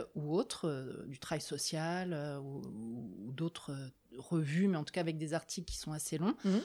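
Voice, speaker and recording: A woman speaks with lively intonation. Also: very clean recording, silent background. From Paris region, France. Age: 40s. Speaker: social worker. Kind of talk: interview. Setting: filmed interview. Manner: halting.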